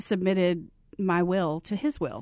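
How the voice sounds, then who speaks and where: A woman with an American accent against a quiet background. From Texas, Abilene. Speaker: nonprofit executive and counselor. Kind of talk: interview.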